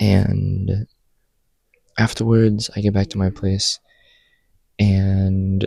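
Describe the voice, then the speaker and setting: A man's fairly low-pitched voice in a dark, mellow tone with fairly even intonation. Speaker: student vlogger. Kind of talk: casual vlog monologue. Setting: study hall. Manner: soft-spoken; casual with many fillers. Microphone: new microphone.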